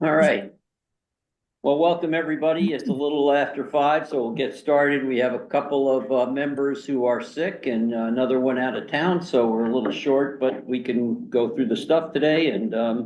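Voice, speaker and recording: Moderate pace and ordinary pitch variation, with audible room echo. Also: man, fairly high pitch for a man. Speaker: committee chair. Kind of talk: public meeting. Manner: loud. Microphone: new laptop setup.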